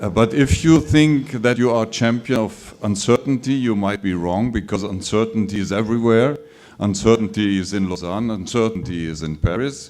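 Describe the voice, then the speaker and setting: Over music in the background, a man with a German accent speaks at a moderate pace and medium pitch, with ordinary pitch variation. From Germany, Munich. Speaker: professor. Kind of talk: conference talk.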